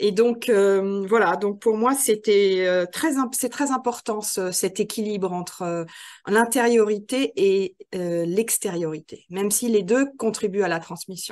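Over a quiet background, a woman speaks at a very slow pace in a medium-pitched voice. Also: ordinary pitch variation. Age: 50s. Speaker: trainer and author. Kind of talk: interview conversation.

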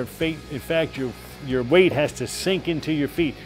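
Faint music plays behind the voice. A man talks at a fairly quick pace. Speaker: boxing coach. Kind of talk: hands-on coaching instruction. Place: gym.

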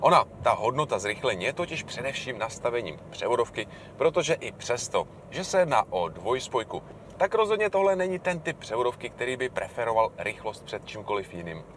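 Very wide pitch swings from a man at a fairly quick pace, with light background noise and a dry sound with no echo. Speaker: car reviewer. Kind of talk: car review commentary. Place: car.

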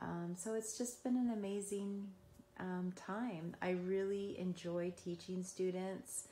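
A woman speaking very slowly in a monotone, flat intonation. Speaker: emergency care instructor. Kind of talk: personal testimonial, casual talk. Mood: warm, reflective. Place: home room. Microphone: phone near.

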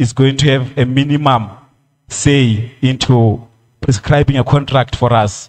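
With a quiet background behind him, a man speaks at a very slow pace and a medium pitch. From South Africa. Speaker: creative industry federation official. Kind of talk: public hearing submission. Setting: community hall public hearing. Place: hall. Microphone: podium.

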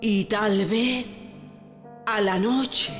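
Over music in the background, a woman speaks in a fairly high voice with fairly even intonation. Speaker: poetry reciter. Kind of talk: poetry reading.

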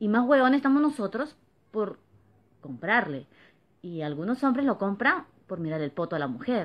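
Animated and moderately paced, a woman's voice makes very wide pitch swings. She takes long, frequent pauses. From Peru, Lima (San Juan de Lurigancho); Peru. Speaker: vlogger. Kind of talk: opinion monologue to camera. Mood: indignant, complaining. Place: home room. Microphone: phone near.

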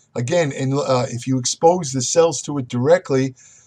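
A man at a moderate pace, with ordinary pitch variation and a quiet background. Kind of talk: lecture. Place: home room. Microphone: webcam.

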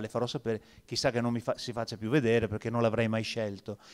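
A man with a medium pitch speaks at a very fast pace against a quiet background. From Venice. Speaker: labour market expert. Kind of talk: panel discussion. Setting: stage with audience. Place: hall. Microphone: handheld.

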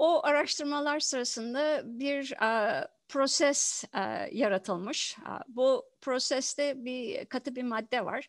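Over a quiet background, a woman speaks very slowly in a high voice with ordinary pitch variation. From Turkey, Izmit; Turkey. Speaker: professor of environmental engineering. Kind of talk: interview. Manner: halting, many fillers. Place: home room. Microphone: headset.

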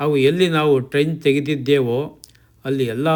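A man speaks in a normal speaking voice. His pitch varies an ordinary amount. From Mandya district, Karnataka, India. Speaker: retired official turned farmer, farming channel host. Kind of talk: scripted narration. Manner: formal.

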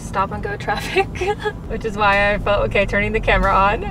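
A woman's voice, dry with no echo, amid noticeable background noise. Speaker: vlogger. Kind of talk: casual vlog chat. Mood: nervous, excited, laughing. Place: car. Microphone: camera far.

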